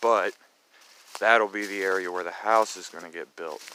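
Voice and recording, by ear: Bright and sharp in tone, a man talks at a fairly quick pace in a low pitch.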